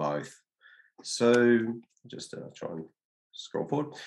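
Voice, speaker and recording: A man speaks with an Australian accent. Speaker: data analytics consultant. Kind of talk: webinar presentation. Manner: halting, many fillers.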